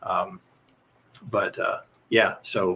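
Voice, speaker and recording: A man with a Southern US accent. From US South, rural Kentucky. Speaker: mock trial head coach. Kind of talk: casual chat.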